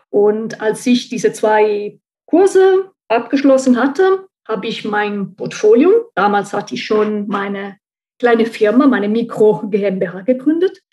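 A fairly slow, fairly high-pitched woman with an Italian accent and a dark, mellow tone. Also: ordinary pitch variation. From central Italy. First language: Italian (speaking German). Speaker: translator and marketing consultant. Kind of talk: interview.

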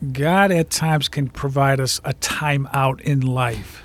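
Fairly high in pitch, a man's voice moves with fairly even intonation. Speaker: radio host and minister. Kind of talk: radio interview.

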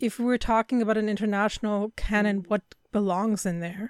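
A woman with a German accent speaks at a fairly high pitch and a moderate pace with fairly even intonation, her sound dry and close with no echo on a very clean recording with a silent background. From Germany. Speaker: film podcast co-host. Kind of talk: casual chat.

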